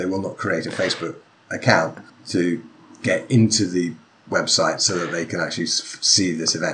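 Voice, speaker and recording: A man with an English accent talks at a moderate pace. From England. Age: 40s. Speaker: author and sword-fighting instructor, podcaster. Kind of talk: casual chat. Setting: video call.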